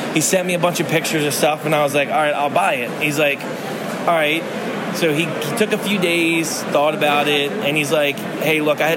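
Over noticeable background noise, a man with an American accent talks at a fairly quick pace. His fairly high voice keeps a fairly even intonation. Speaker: toy vendor. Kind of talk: casual interview chat.

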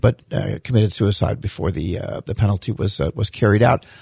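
A man with vocal fry speaks at a fairly quick pace, the sound dry and close with no echo on a very clean recording with a silent background. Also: hardly any pauses. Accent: American. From US Florida. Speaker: mayor. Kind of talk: casual interview chat. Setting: studio.

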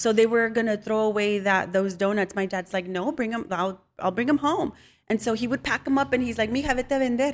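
A woman speaks fairly quickly with a Spanish accent, her pitch fairly high and its variation ordinary. The recording is very clean with a silent background. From Mexican-American, US. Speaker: home cook and social media creator. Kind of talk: casual interview.

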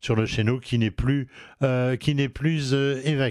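On a very clean recording with a silent background, a man speaks at a fairly slow pace with medium pitch and fairly even intonation. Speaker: home improvement radio host. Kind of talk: radio show presentation. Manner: hesitant, many filler sounds.

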